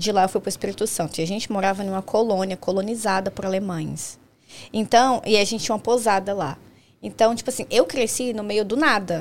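A woman's medium-pitched voice at a fairly quick pace, an unremarkable speaking voice with ordinary pitch variation. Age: 20s. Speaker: nail technician. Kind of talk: casual chat.

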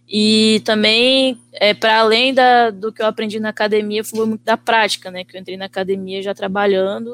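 A woman's ordinary speaking voice, medium in pitch, at a moderate pace with fairly even intonation. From Brazil, Vitória, Espírito Santo. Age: 20s. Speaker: visual artist. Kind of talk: casual chat.

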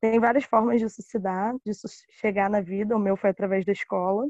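A woman's dark, mellow voice with fairly even intonation, recorded dry and close with no echo. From Rio de Janeiro, West Zone (Guaratiba). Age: 20s. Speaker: cultural producer. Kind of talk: interview.

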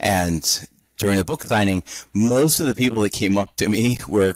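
A man with a plain, everyday voice speaks at a moderate pace and a fairly low pitch with ordinary pitch variation, in a dry, close sound with no echo on a very clean recording with a silent background. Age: 50s. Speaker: interim CFO consultant. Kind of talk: interview.

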